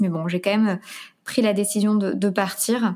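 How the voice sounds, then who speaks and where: On a very clean recording with a silent background, a woman speaks at a moderate pace in a monotone, flat intonation. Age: 30s. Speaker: career coach and author. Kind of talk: interview. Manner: hesitant, many fillers.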